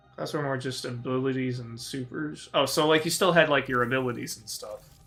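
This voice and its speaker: Over music in the background, a man talks at a fairly quick pace with fairly even intonation and big swings in loudness. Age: 20s. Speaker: gaming streamer. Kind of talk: casual live-stream commentary. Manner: casual, rambling with fillers.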